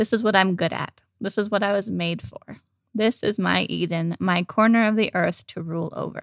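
In an unremarkable speaking voice, a woman talks with pitch that varies in an ordinary way. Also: medium pitch for a woman, moderate pace. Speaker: podcast host. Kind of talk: casual chat.

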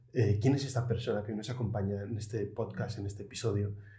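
A dark, mellow, somewhat breathy voice moves at a fairly quick pace with fairly even intonation and audible room echo. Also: man. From Asturias, Spain. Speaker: guest interviewer. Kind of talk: interview.

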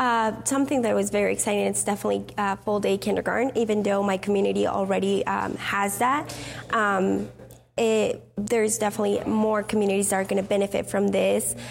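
Against music in the background, a woman talks at a fairly quick pace with very even loudness. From Mexico. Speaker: community advocate. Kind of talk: short interview. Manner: halting.

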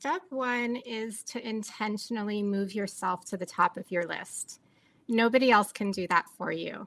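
With ordinary pitch variation, a woman's voice sits at a fairly high pitch. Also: moderate pace. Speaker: peaceful living and meditation teacher. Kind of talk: interview with guided meditation. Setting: video call.

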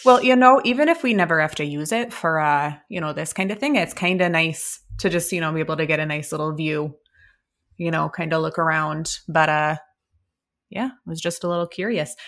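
A woman with an unremarkable speaking voice talks at a fairly quick pace, her pitch fairly low and her intonation lively. The recording is very clean, with a silent background. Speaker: tabletop RPG player. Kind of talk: actual-play tabletop roleplaying game.

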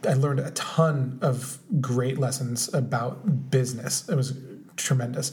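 The speaker is a man with a medium pitch. The recording has audible room echo and noticeable background noise. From Orange County, California. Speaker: podcast co-host. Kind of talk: casual chat.

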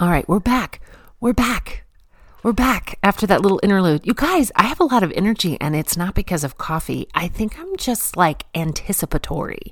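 The pitch swings very widely in an animated tone. The voice is somewhat breathy. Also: woman, moderate pace. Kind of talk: devotional talk.

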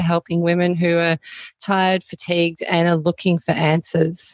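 In an Australian accent, the speaker keeps a moderate pace, recorded very cleanly against a silent background with a dry, close sound and no echo. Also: woman. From Australia (Melbourne). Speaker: naturopath. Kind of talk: interview.

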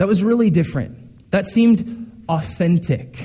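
A man with a dark, mellow tone talks at a moderate pace with lively intonation. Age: young. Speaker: pastor. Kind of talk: sermon. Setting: church. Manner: hesitant fillers.

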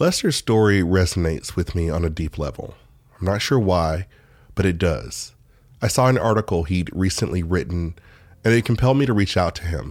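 Over a silent background in a very clean recording, a man with an American accent speaks fairly quickly in a very deep, low pitch. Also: ordinary pitch variation. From United States. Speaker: podcast host. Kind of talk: scripted narration.

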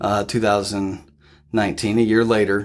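With a Midwestern US accent, a man speaks at a fairly slow pace and a fairly low pitch in a very clean recording with a silent background. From Ohio, near Columbus. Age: 30s. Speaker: addiction recovery leader. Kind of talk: interview testimony. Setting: organization office. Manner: hesitant, many fillers.

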